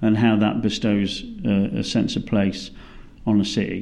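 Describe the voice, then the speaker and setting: The voice has a dark, mellow tone with a British accent. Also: man. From Britain. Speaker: cultural geographer, professor. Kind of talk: academic interview.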